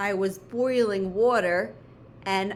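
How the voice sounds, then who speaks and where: A woman's medium-pitched voice at a very slow pace, with ordinary pitch variation and audible room echo. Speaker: elementary school teacher. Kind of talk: homework tutorial for pupils; dictated spelling test.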